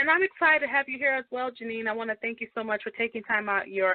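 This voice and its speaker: A woman's very fast speech with ordinary pitch variation. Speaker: radio talk show host. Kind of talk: radio interview.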